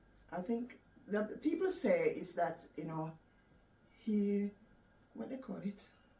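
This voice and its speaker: Somewhat breathy and dark, mellow in tone, a woman's medium-pitched voice moves at a fairly slow pace with lively intonation and long, frequent pauses. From Jamaica. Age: 60s. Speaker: cancer survivor. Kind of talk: interview.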